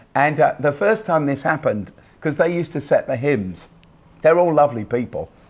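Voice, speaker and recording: A man's voice sits at a fairly high pitch and carries vocal fry. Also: lively intonation, fairly quick pace. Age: 60s. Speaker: pastor. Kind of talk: interview. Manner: hesitant, many fillers.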